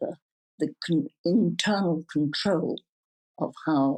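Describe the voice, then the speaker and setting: A woman speaks at a very slow pace in a dark, mellow, somewhat breathy tone. Her pitch is medium, and the sound is dry and close with no echo. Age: 70s. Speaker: psychedelics researcher and foundation founder. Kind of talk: interview answer.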